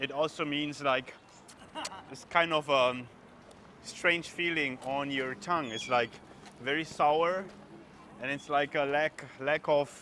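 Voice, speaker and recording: The speaker has a German accent and fairly even intonation. The pace is fairly slow, with long, frequent pauses. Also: man. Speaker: travel vlogger. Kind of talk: casual walking vlog. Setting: outdoors at a street market.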